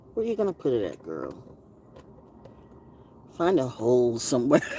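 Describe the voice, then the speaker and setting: Over noticeable background noise, a woman with a very deep, low pitch talks at a moderate pace, her pitch swinging very widely. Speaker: broadcaster, voice actor, intuitive reader, spoken word poet. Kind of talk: casual live talk to camera, rambling and stream-of-consciousness. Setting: live stream, talking to the camera at home. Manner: chatty, expressive, sassy, with rhythmic call-and-response riffing.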